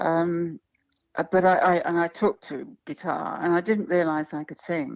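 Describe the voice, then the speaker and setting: With a London accent, a woman speaks at a fairly low pitch and fairly even intonation. Her loudness swings widely against a quiet background. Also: fairly slow pace. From London, England. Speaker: singer-songwriter. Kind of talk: interview. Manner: halting.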